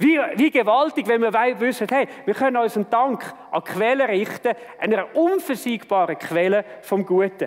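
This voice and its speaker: A man with a Swiss accent speaks at an extremely high pitch and a moderate pace, with hardly any pauses. His loudness stays very even over noticeable background noise. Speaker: church leader and preacher. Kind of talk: sermon.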